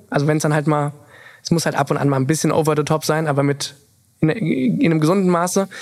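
A man speaks at a very fast pace. His pitch is fairly high for a man, with fairly even intonation. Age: 20s. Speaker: influencer and content creator. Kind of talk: casual interview chat.

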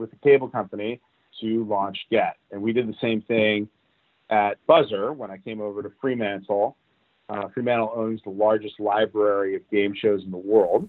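A man with an American accent and a fairly low pitch talks at a moderate pace in an unremarkable speaking voice. His intonation is fairly even, with big swings in loudness. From Los Angeles, US. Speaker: TV network executive. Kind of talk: interview.

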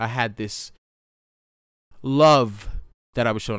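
The recording is very clean, and the background is silent. In it, a man is talking. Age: 30s. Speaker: podcast host. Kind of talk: casual monologue.

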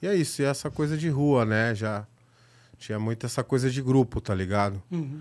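A man's medium-pitched voice at a moderate pace, ordinary pitch variation, a plain, everyday voice, very clean recording with a silent background. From São Paulo, west zone periphery (Itapevi). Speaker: graffiti artist and filmmaker. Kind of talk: casual chat.

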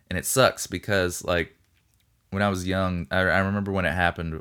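On a very clean recording with a silent background, a man with a very deep, low pitch and a bright, sharp tone talks at a fairly quick pace. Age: 30s. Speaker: podcast host. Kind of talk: casual solo monologue. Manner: casual with many fillers.

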